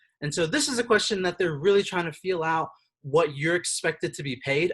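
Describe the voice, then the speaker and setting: Ordinary pitch variation from a man speaking at a fairly quick pace. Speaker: career counselor. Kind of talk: online workshop presentation. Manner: fast; hesitant, many fillers.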